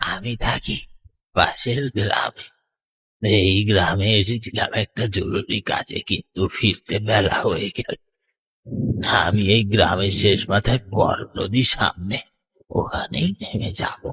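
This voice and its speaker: Doing a cartoonish character voice, a man speaks very slowly in a raspy, fairly low register. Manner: sly, teasing.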